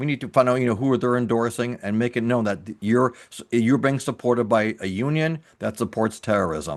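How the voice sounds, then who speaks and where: Against a quiet background, a man talks at a fairly quick pace, medium in pitch, with ordinary pitch variation. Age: 60s. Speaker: interviewer, news commentary host. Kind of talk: interview. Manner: animated.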